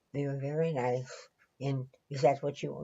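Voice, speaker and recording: The speaker is a woman with an American accent. Her voice is somewhat breathy and her pace is moderate. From Louisiana, Southern US. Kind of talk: interview answer.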